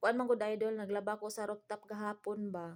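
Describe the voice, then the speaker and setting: A soft-spoken woman speaks at a moderate pace. Her pitch is fairly high, her intonation monotone and flat. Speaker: vlogger, domestic helper abroad. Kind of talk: casual vlog talk. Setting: indoors in a room.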